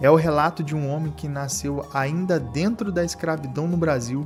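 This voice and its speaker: The speech keeps a moderate pace, with music playing behind it. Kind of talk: documentary history narration. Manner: casual, conversational.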